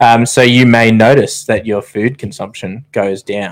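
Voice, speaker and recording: A man speaks with an Australian accent at a medium pitch. His intonation is monotone and flat, and the recording is very clean with a silent background. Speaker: podcast co-host, army veteran. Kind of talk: casual chat. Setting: studio.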